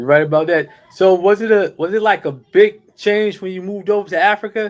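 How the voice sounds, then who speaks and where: A man with a high voice talks at a fairly quick pace, his pitch varying in an ordinary way, while music plays in the background. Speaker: podcast host. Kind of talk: podcast interview questions.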